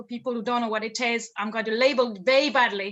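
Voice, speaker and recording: A woman speaks at a high pitch with a French accent. Her pitch varies in an ordinary way. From France. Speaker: confidence coach. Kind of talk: interview. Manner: repeats words, hesitant starts.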